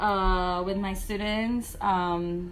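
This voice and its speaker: Audible room echo colors a voice that has fairly even intonation. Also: woman. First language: not English (English is third language). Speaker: first grade teacher. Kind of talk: interview.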